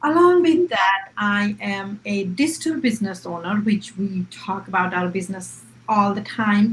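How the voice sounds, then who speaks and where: With an Indian accent, a woman talks at a moderate pace in a medium pitch over noticeable background noise. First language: Hindi. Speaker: public servant and online business owner. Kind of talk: live-stream panel discussion.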